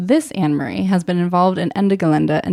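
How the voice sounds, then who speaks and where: A woman with an ordinary speaking voice and an American accent talks at a fairly quick pace and a fairly low pitch. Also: dry, close sound with no echo. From Germany. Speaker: podcast host. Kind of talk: scripted narration.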